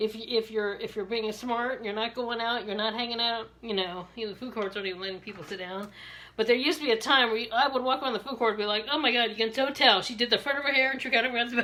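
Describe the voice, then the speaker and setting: A woman with a Maryland accent speaks very fast in a fairly high voice, with fairly even intonation and hardly any pauses. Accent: Maryland accent, Southern-sounding. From Maryland, US. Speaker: beauty sales rep and vlogger. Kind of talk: hairstyling tutorial with casual chat. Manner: chatty, halting with repetitions.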